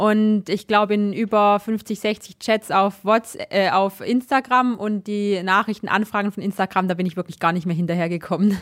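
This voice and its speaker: A plain, everyday voice from a woman at medium pitch, with fairly even intonation, a moderate pace and hardly any pauses, dry and close with no echo, on a very clean recording with a silent background. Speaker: biathlete. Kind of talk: interview.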